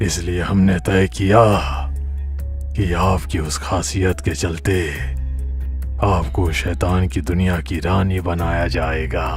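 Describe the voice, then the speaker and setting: A man's cartoonish character voice at a very slow pace, with clear music in the background. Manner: imperious, uses royal "we".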